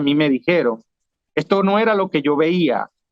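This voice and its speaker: This man has a Venezuelan accent and a fairly high pitch. He speaks at a moderate pace with ordinary pitch variation. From Venezuela, Trujillo state. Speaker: former city councillor, political exile. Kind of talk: interview conversation. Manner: repeats words, hesitant restarts.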